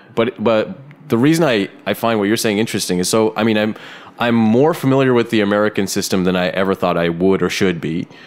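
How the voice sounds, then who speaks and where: There is noticeable background noise behind a man with a Canadian accent. He speaks fairly quickly at a fairly low pitch, with lively intonation. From Canada. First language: Bengali. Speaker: podcast host. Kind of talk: casual interview chat.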